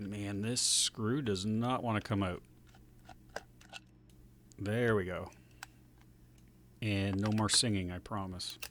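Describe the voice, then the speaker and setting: At a very slow pace, a man with a fairly low pitch speaks with fairly even intonation and long, frequent pauses. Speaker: retro computer repair hobbyist and YouTuber. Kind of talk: casual talk to camera while working at a bench.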